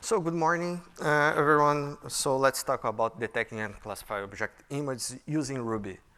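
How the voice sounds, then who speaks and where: A man with a Brazilian Portuguese accent speaks with lively intonation. His voice is fairly high and has a bright, sharp tone. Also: moderate pace. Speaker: software engineer and conference speaker. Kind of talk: conference talk. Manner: halting, many fillers.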